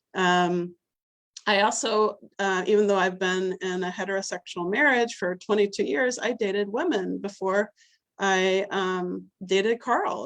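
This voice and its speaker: A woman with an American accent speaks at a fairly slow pace. Her pitch is medium, with ordinary variation. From US South. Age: middle-aged. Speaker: minister. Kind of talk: sermon. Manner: halting.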